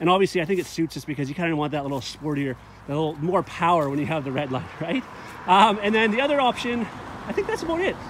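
Over noticeable background noise, a man talks at a very fast pace, and the sound is dry with no echo. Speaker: car salesman reviewer. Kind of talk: vehicle walkaround presentation. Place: open country. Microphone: phone near.

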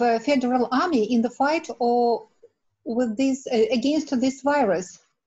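This woman speaks with a Russian accent and a high pitch at a fairly slow pace. Her loudness stays very even, her pitch varies in an ordinary way, and the background is quiet. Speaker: researcher; audience member. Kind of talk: audience question. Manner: halting. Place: home room. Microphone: webcam.

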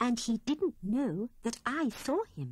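A woman's somewhat breathy voice with very wide pitch swings and a dry sound with no echo. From British. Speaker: audiobook narrator. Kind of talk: children's audiobook storytelling. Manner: lively storytelling with character voices. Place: studio.

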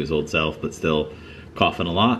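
Male speech at a moderate pace with ordinary pitch variation and light background noise. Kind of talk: casual vlog chat. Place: farm machine. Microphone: phone near.

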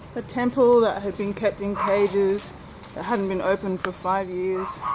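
A woman talks at a moderate pace while music plays behind her. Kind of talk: casual vlog chat. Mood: disappointed, somewhat sad. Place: street. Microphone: phone near.

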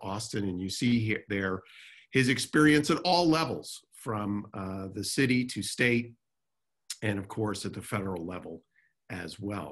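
A man with an unremarkable speaking voice talks at a fairly low pitch with lively intonation against a quiet background. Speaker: webinar host or moderator. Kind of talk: panel introduction. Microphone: video call.

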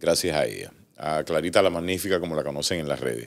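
A man with a very deep, low pitch speaks at a fairly quick pace, with vocal fry. His intonation is fairly even, and the background is quiet. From Cuba. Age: 40s. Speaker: entertainer; interview guest. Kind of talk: casual interview. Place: studio. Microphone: studio mic.

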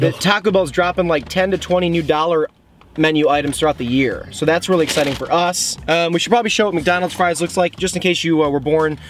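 A man at a very fast pace and high pitch, with fairly even intonation, very even loudness, dry sound with no echo, and light background noise. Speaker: food reviewer. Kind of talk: casual vlog chat. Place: car. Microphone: phone near.

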